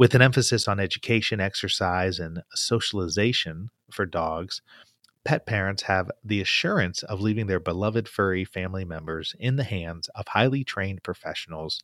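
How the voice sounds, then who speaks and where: Recorded very cleanly with a silent background, a man with a plain, everyday voice speaks at a moderate pace and fairly low pitch, with ordinary pitch variation. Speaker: podcast host. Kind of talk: interview.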